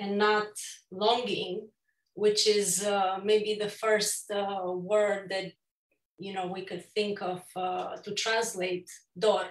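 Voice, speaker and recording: A woman with a Romanian accent speaks at a very slow pace and medium pitch, her intonation monotone and flat. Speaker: photographer and author. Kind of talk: virtual book launch talk. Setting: virtual event. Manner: halting, many fillers.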